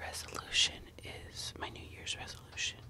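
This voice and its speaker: A soft-spoken woman whispers at a very slow pace over light background noise. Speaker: makeup vlogger. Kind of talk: casual ASMR-style makeup chat. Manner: soft close-mic ASMR whisper. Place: home room. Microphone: studio mic.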